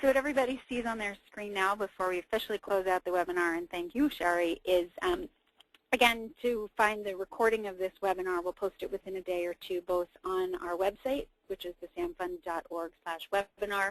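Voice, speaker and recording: A woman at medium pitch and a fairly quick pace, with ordinary pitch variation and a dry, close sound with no echo. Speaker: webinar host for a nonprofit. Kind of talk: webinar moderation. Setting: online webinar. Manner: fast.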